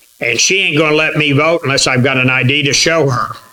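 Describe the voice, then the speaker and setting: A man with ordinary pitch variation over noticeable background noise. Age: 70s. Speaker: chapter leader of gun-rights group. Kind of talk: meeting speech and introduction.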